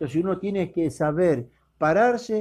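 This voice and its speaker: Against a quiet background, a man with a dark, mellow tone talks at a fairly slow pace with lively intonation. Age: 60s. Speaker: preacher. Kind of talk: sermon.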